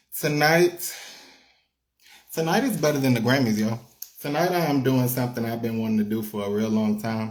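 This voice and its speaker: The voice belongs to a man. His pitch moves in an ordinary way. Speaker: talk show host and rapper. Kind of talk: talk show interview host. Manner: upbeat, hyped.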